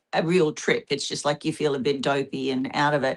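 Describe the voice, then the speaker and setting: A woman speaks at a moderate pace with an Australian accent and ordinary pitch variation. The recording is very clean, with a silent background. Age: 60s. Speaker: panel guest, religious abuse survivor. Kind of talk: group discussion and presentation.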